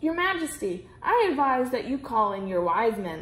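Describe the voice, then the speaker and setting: A woman's put-on character voice, high-pitched, with very wide pitch swings, at a moderate pace. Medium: read story. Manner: formal, precise.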